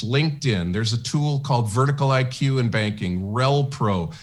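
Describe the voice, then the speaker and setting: A man's medium-pitched, somewhat breathy voice at a moderate pace, with lively intonation. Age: 70s. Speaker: sales training consultant for banks. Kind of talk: radio interview. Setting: radio studio broadcast.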